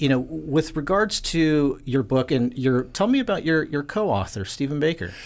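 A man speaks in an ordinary speaking voice, fairly high in pitch with lively intonation. His loudness stays very even at a moderate pace with hardly any pauses, on a very clean recording with a silent background. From California. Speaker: podcast host. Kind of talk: interview.

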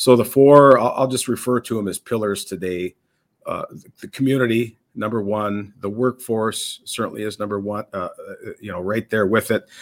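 A man of medium pitch talks at a moderate pace in a Minnesota accent, with fairly even intonation and big swings in loudness. The recording is very clean, dry and close, with no echo and a silent background. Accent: Upper Midwest (Minnesota) American. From Minnesota, US Upper Midwest. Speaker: police chief. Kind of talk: interview. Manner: halting, frequent repetitions.

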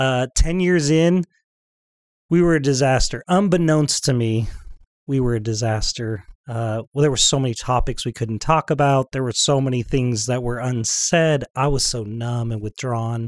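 A man's plain, everyday voice at medium pitch, with ordinary pitch variation, a moderate pace, and a dry, close sound with no echo. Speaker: marriage and family therapist. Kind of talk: podcast interview.

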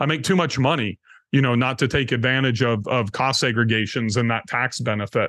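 A man's medium-pitched voice, an ordinary speaking voice, with very even loudness, ordinary pitch variation and a fairly quick pace. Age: 50s. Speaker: real estate investor. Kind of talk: casual chat.

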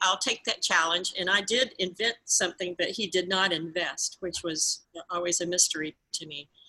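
Bright, sharp tone from a woman at medium pitch and a moderate pace. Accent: Southern US. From US South, Georgia. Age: 60s. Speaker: pet product entrepreneur. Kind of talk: interview.

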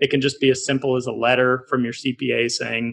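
A man's medium-pitched voice with an American accent, vocal fry, monotone, flat intonation and a moderate pace. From Colorado, US. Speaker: real estate investor. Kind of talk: podcast interview.

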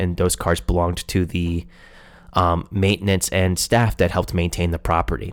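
Very deep and low in pitch, a man speaks at a moderate pace on a very clean recording with a silent background. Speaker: podcast host. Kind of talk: solo educational podcast. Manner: frequent filler words.

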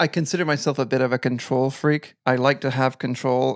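A man with a Canadian accent, medium pitch and a fairly quick pace, on a very clean recording with a silent background. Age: 40s. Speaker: web agency owner. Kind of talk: podcast interview.

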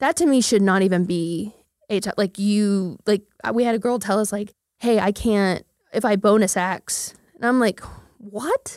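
An ordinary speaking voice from a woman with an American accent, fairly high in pitch, at a moderate pace. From Oklahoma, Midwest City. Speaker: marketing company founder and CEO. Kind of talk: casual interview.

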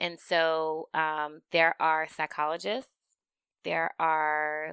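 A woman's very deep, low voice with a bright, sharp tone, a dry, close sound with no echo, and a very clean recording over a silent background. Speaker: therapist, podcast co-host. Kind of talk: casual chat.

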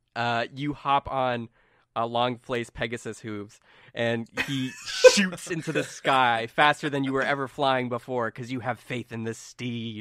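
An ordinary speaking voice moves at a fairly slow pace with fairly even intonation, on a very clean recording with a silent background. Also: man, medium pitch for a man. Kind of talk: dramatic narration as a tabletop game master, describing the scene.

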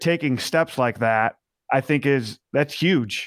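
An ordinary speaking voice from a man, fairly high in pitch, with ordinary pitch variation and a fairly slow pace, in a very clean recording with a silent background and a dry, close sound with no echo. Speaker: podcast co-host. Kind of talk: interview.

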